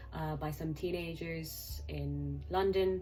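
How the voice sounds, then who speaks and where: A woman is heard with music in the background. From Hong Kong. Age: 20s. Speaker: trainee clinical psychologist. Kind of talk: casual talk to camera.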